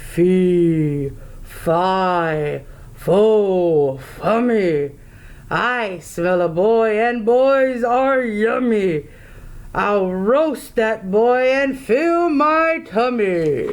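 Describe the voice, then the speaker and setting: A put-on character voice moves at a very slow pace in a fairly high pitch. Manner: mean, menacing.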